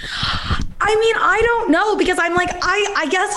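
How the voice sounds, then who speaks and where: A woman speaks at a fairly slow pace in an American accent. Room echo is audible, and there is noticeable background noise. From Palo Alto, California. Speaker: comedian and comedy writer. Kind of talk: casual chat. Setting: video call.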